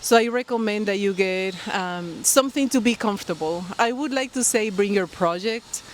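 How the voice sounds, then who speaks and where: A woman with a Colombian accent talks with hardly any pauses. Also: medium pitch for a woman, ordinary pitch variation, moderate pace. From Colombia, Barranquilla. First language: Spanish. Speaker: knitting podcaster. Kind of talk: casual vlog talk to camera. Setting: outdoors by a pool. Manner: halting, many fillers.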